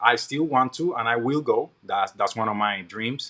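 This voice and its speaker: Using a Puerto Rican accent, a man speaks in a medium pitch with a bright, sharp tone. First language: Spanish. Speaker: podcast guest, army veteran. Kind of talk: interview.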